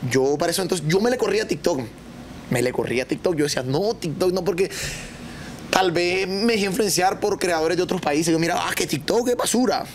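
Over noticeable background noise, a man with a high voice speaks at a fairly quick pace, with lively intonation and very even loudness. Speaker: comedian and content creator. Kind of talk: casual chat. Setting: studio with live audience.

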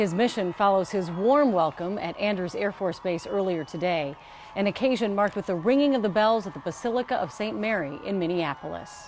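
Against light background noise, a woman talks at a fairly quick pace with a medium pitch. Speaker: news anchor. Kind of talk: newsreading. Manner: formal, steady. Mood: calm, serious. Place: studio. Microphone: lapel.

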